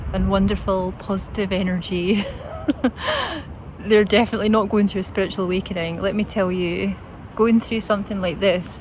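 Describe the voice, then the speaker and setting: Against noticeable background noise, a woman with a Scottish accent speaks at a medium pitch and moderate pace in a monotone, flat intonation. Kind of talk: casual talk to camera. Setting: outdoors. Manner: gentle, calm.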